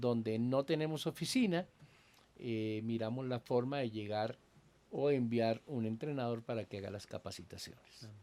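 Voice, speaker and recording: A man's normal speaking voice at medium pitch, with ordinary pitch variation and a fairly slow pace. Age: 60s. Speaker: pastor and Bible teacher. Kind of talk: casual interview conversation. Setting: at his country house.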